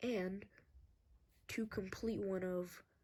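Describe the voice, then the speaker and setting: A woman speaks quietly in a fairly low, dark, mellow voice. Her delivery is somewhat breathy. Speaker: game creator and video maker. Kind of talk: gameplay update review. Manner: quiet, talking low.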